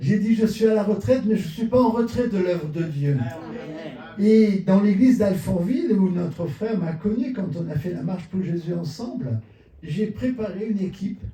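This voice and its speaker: A man with a high-pitched voice speaks at a moderate pace with lively intonation. The room echo is audible, and there is noticeable background noise. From southern France, Marseille. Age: 70s. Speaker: pastor. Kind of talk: sermon.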